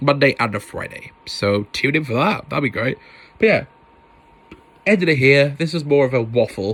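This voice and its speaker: Lively intonation marks a man's fairly high voice as he speaks at a moderate pace with long, frequent pauses. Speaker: podcast host. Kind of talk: casual solo podcast monologue. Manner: loud, animated.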